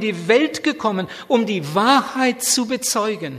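Here a man talks at a high pitch with lively intonation. His pace is very slow. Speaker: preacher. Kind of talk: sermon. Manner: passionate, urgent, fervent preaching; repetitive emphatic delivery with direct appeals.

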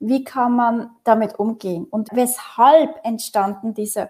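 Speech moves at a very slow pace in a dark, mellow tone. The pitch variation is ordinary. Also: woman. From Switzerland, Basel region. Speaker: consultant on intergenerational collaboration. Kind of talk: interview conversation.

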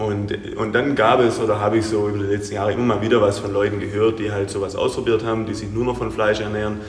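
A man's very fast speech amid noticeable background noise and audible room echo. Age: 30s. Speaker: gym owner and coach. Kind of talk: interview. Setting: gym.

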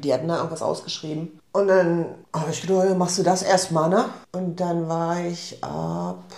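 A woman speaks in a fairly low voice at a moderate pace with fairly even intonation. The room echo is audible, and there is noticeable background noise. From northeastern Germany, Rostock. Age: 50s. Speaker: shop owner. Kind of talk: casual interview. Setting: indoor office.

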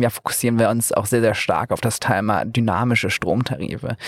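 Very fast and with hardly any pauses, a man speaks at a medium pitch. His loudness stays very even, and his intonation is fairly even. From northern Germany, Flensburg. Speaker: energy startup founder. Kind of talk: interview. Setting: mobile podcast studio at trade fair.

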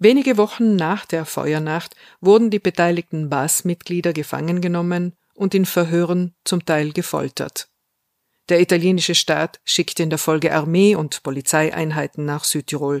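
This woman has an unremarkable speaking voice, fairly low in pitch, with ordinary pitch variation at a moderate pace. The recording is very clean, with a silent background. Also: dry, close sound with no echo. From South Tyrol, Italy. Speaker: podcast host. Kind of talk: scripted narration.

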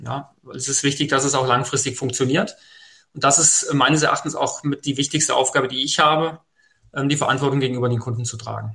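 Bright and sharp in tone, a man with a fairly high pitch talks at a fairly quick pace with fairly even intonation. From Hesse, Germany (Fulda). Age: 40s. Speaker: mortgage finance advisor. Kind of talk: podcast interview.

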